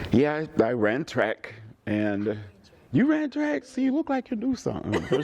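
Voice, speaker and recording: With noticeable background noise behind him, an American-accented man keeps a moderate pace. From US South, rural Georgia. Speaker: musician. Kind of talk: casual chat.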